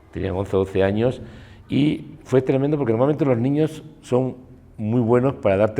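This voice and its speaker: With a Spanish accent, a man speaks at a moderate pace in a medium-pitched, dark, mellow voice with ordinary pitch variation. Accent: Peninsular Spanish. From Spain. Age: 60s. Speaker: war photographer. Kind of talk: interview. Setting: cultural centre.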